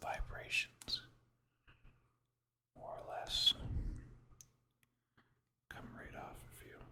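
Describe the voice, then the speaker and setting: Someone whispers at a very slow pace. Long, frequent pauses break up the speech. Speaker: ASMR creator. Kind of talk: ASMR whispered drawing session. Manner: whispered.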